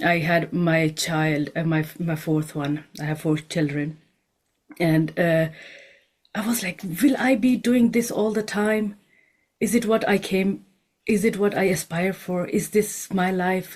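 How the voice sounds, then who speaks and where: A woman speaks with a non-native accent at a fairly slow pace. Her pitch sits in the medium range and varies in an ordinary way. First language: not English. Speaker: homeopath and nutritionist. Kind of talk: panel discussion. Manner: hesitant, with fillers.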